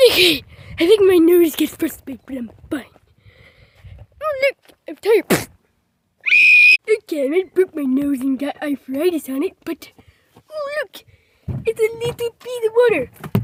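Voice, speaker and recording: A cartoonish character voice at an extremely high pitch speaks at a moderate pace, broken by long, frequent pauses. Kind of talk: puppet video talk to camera. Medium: puppet.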